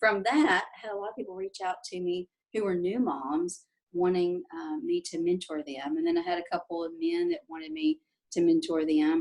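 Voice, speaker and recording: A woman speaks with a Southern US accent at a moderate pace. Her medium-pitched voice moves through very wide pitch swings. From Tennessee, Nashville. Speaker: life coach. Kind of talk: interview. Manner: hesitant, many fillers.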